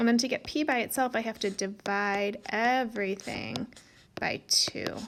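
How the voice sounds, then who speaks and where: A woman with a normal speaking voice talks at a fairly slow pace. Her pitch is fairly high, and her intonation is fairly even. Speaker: math teacher. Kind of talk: tutorial.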